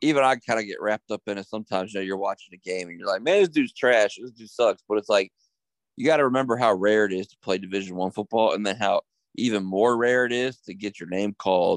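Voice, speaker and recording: An ordinary speaking voice from a man, fairly low in pitch and fairly quick, with ordinary pitch variation and a dry, close sound with no echo. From Harrisonburg, Virginia. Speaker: podcast host. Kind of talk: casual chat. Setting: studio.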